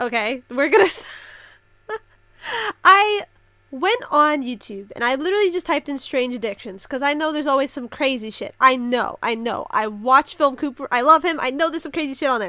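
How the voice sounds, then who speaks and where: Raised and projected, a woman's high, bright, sharp voice moves at a fairly quick pace with lively intonation. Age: 20s. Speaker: reaction youtuber. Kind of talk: casual reaction commentary. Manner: animated.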